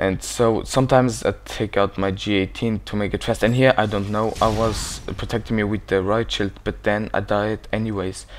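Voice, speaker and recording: Fairly low male voice, monotone and flat, with hardly any pauses. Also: moderate pace. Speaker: gaming commentator. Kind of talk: gameplay commentary. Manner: casual, hesitant.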